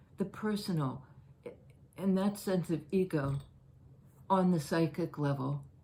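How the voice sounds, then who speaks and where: In a dark, mellow tone that is somewhat breathy, the voice moves at a fairly slow pace with ordinary pitch variation. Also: woman. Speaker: tarot reader. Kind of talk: tarot reading. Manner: halting.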